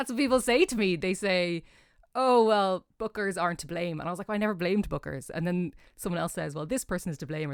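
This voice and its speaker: A woman with an Irish accent speaks at a fairly quick pace with lively intonation, in a dry, close sound with no echo on a very clean recording with a silent background. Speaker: jazz singer. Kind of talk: interview.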